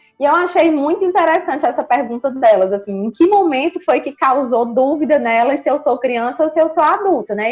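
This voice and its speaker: A woman speaks in a high-pitched voice. Her intonation is lively. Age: 30s. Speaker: psychologist. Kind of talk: casual chat.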